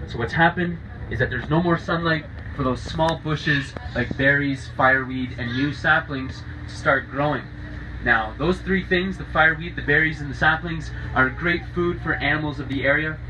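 Noticeable background noise behind a man talking at a moderate pace. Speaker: boat tour guide. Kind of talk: guided tour commentary.

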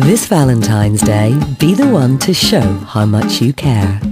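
A woman speaks at a fairly slow pace with very wide pitch swings. Music plays in the background. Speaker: voice-over artist. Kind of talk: TV and radio commercial read.

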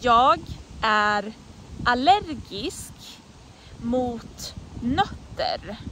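A woman's high, bright, sharp voice at a very slow pace, with very wide pitch swings, long and frequent pauses, a dry sound with no echo, and light background noise. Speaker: Swedish language teacher. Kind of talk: language lesson example phrases. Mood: friendly, smiling. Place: forest. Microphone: phone near.

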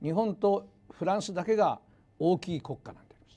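A man's dark, mellow tone at a moderate pace. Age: 60s. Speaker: university professor of economics. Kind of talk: lecture. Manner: formal. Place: hall. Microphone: lapel.

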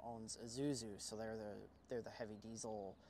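Against light background noise, a man speaks with fairly even intonation in a dry sound with no echo. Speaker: guest. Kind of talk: interview answer. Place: street. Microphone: lapel.

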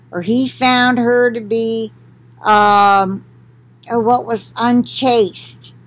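This woman has a high-pitched voice with ordinary pitch variation. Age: 60s. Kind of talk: Bible reading with commentary. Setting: recorded at home for video. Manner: conversational, with fillers. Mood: calm, conversational. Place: home room. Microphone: webcam.

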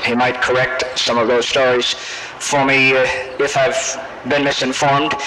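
The speech goes at a fairly slow pace with hardly any pauses, against loud background noise. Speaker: professor introducing a guest speaker. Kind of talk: formal speaker introduction. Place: hall.

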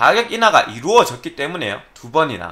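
A raised, projected voice with a bright, sharp tone over a quiet background. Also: man. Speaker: PC hardware YouTuber; tech commentator. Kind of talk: solo commentary video. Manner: careful articulation. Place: home room.

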